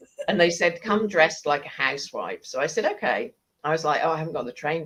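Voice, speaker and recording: A woman talks fairly quickly in a very deep, low voice. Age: 60s. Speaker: coach and activist. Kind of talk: casual interview chat.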